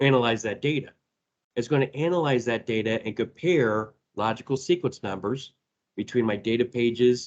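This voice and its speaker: A man with an American accent speaks at a medium pitch and a moderate pace. His pitch varies in an ordinary way. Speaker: database trainer and presenter. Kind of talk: technical presentation. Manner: casual, with filler words.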